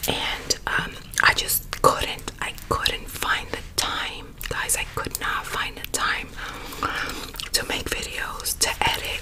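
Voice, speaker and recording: Whispering and soft-spoken, a woman talks at a very slow pace over light background noise. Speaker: ASMR YouTuber. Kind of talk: casual vlog chat. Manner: soft close-mic ASMR whisper. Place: home room. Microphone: studio mic.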